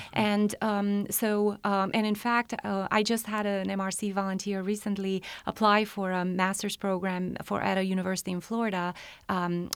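Speaking in a Romanian accent at a medium pitch, a woman keeps a monotone, flat intonation on a very clean recording with a silent background. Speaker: health department program coordinator. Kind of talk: interview about a county program.

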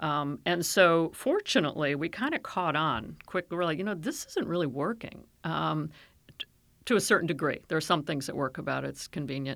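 A woman with a very deep, low pitch and vocal fry talks at a fairly quick pace in an American accent. Her intonation is lively. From Maryland, US (Silver Spring). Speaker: county government executive, urban planner. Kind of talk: interview.

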